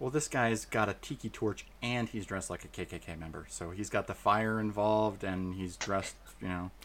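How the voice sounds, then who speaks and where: With an American accent and a plain, everyday voice, a man speaks at a moderate pace and fairly low pitch, with ordinary pitch variation and hardly any pauses. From Arizona, then Florida from age nine. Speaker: comedy podcast co-host. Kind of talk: casual comedic chat.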